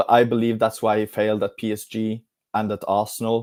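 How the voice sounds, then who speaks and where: A man speaks with a Norwegian accent. The sound is dry and close, with no echo. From Norway. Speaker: football fan pundit. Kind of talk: casual live-stream football discussion.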